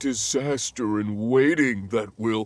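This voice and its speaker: Fairly slow and medium-pitched, a man's put-on character voice. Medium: video game. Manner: sour, grumbling.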